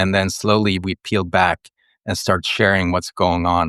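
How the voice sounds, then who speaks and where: In a Swedish accent, a man speaks at a moderate pace with a very deep, low pitch and monotone, flat intonation, the sound dry and close with no echo over a quiet background. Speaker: writer and ecologist, mentor. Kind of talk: podcast interview. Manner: hesitant, with many fillers.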